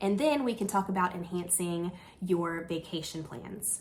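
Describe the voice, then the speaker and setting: Audible room echo surrounds the voice. The speaker is a woman. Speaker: travel agent. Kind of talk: casual news recap. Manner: animated.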